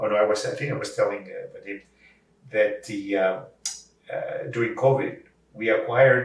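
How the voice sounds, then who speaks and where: Noticeable background noise and audible room echo around a man's voice at a moderate pace. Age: 70s. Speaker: voice actor and language services company head. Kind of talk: interview conversation. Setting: at his home. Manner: halting with many repetitions.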